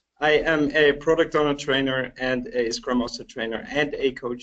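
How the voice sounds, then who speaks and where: This man's voice sits fairly high, with a slight Dutch accent. His pitch varies in an ordinary way. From Netherlands, Helmond. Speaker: agile trainer and coach. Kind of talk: webcast presentation.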